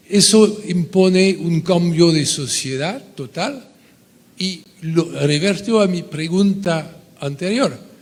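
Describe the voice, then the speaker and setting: With noticeable background noise behind him, a man with a high-pitched voice speaks very slowly. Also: ordinary pitch variation. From France. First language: French (speaking Spanish). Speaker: audience member asking a question. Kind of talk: conference Q&A question. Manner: halting.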